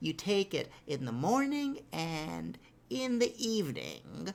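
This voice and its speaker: In a put-on character voice, the words come out at a very slow pace. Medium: read story. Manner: hesitant, stumbling.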